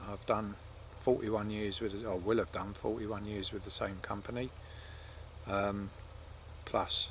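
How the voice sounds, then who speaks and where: A man speaks slowly-ish in a fairly low, somewhat breathy voice with monotone, flat intonation. He leaves long, frequent pauses. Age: 60s. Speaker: outdoor vlogger and wild camper. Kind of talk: casual fireside monologue to camera. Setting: outdoors at a coastal wild camp. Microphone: camera's built-in mic, no external mic.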